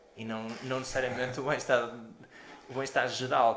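There is audible room echo as a man speaks. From Portugal, Porto. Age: 30s. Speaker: podcast co-host, orthopaedic doctor. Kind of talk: casual chat.

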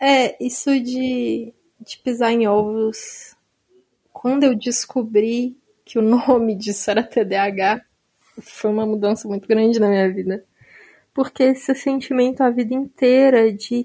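A fairly high-pitched woman's voice, dark and mellow in tone, fairly slow, with fairly even intonation. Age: 20s. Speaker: teacher and author. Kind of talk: casual chat.

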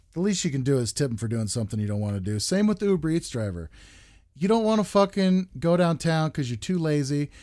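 Very fast and with very wide pitch swings, a man talks in a dark, mellow tone at a fairly high pitch. The recording is very clean, with a silent background. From United States. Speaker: podcast host. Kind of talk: casual chat.

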